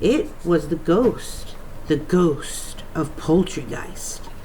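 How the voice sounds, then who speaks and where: In a rumbling put-on character voice, fairly low in pitch, a woman speaks at a very slow pace over clear background noise. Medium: read story. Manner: grumbling, lowing.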